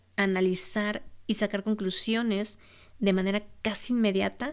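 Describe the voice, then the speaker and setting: Over a silent background in a very clean recording, a woman speaks fairly slowly at medium pitch, with monotone, flat intonation. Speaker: podcast host. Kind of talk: solo podcast monologue.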